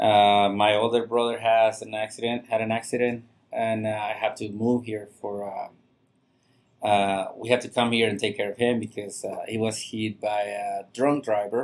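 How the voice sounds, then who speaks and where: In a Mexican accent, a man with a fairly low voice talks at a moderate pace in a flat monotone. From Mexico, Monterrey. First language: Spanish. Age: 40s. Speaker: chef. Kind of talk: podcast interview. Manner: halting, many fillers.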